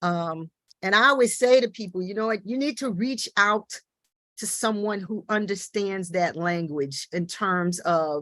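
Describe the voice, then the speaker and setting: The sound is dry and close, with no echo. A woman with a strong Midwestern accent talks at a moderate pace with ordinary pitch variation. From US Midwest. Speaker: teaching artist. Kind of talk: panel discussion. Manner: halting, many fillers.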